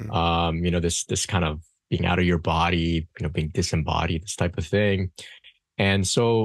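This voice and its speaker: Here a man speaks in a very deep, low pitch. His intonation stays fairly even. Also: moderate pace, quiet background. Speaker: podcast guest. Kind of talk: interview answer. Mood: calm, reflective. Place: home room. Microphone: studio mic.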